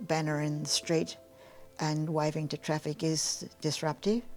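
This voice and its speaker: Speaking with an Australian accent, a woman uses a very deep, low pitch at a moderate pace. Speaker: retired climate activist. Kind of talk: interview.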